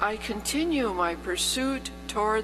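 A woman talks at a very slow pace. There is noticeable background noise. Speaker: scripture reader at funeral. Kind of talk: liturgical scripture reading. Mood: solemn, measured. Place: church.

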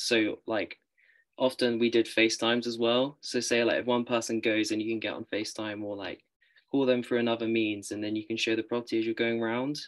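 In a British accent, the speaker goes at a fairly quick pace over a quiet background. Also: man. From UK. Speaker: university student; panelist. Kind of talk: panel discussion. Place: home room. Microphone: video call.

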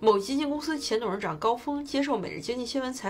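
This woman talks very fast, with light noise in the background. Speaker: finance explainer host. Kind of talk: explainer commentary. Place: home room.

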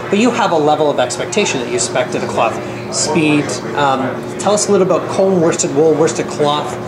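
Loud noise fills the background as a man speaks rather briskly. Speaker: video host and pool equipment seller. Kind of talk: product review interview. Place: hall.

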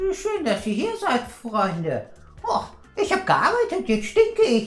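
A put-on character voice speaks at a fairly slow pace. There is a slight echo. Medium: comedy sketch.

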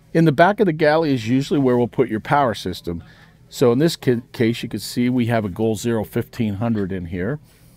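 A man at a fairly quick pace with ordinary pitch variation, in a dry sound with no echo. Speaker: trade show vendor. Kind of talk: product demo sales pitch. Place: open country.

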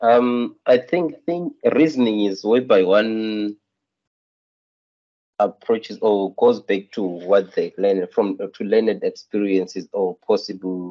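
Fairly low male voice at a slow pace, with ordinary pitch variation

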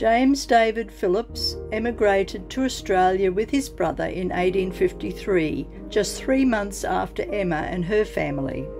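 Fairly slow pace from a woman, over music in the background. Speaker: family history vlogger. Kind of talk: documentary narration.

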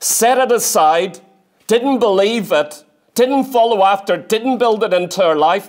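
A man's high-pitched voice with ordinary pitch variation against a quiet background. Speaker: preacher. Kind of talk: sermon. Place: church. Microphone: lapel.

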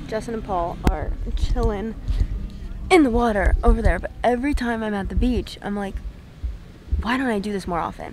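At a moderate pace, a woman speaks with long, frequent pauses, her sound dry with no echo over light background noise. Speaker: vlogger. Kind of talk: casual vlog chat. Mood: relaxed, reflective. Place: beach. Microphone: phone near.

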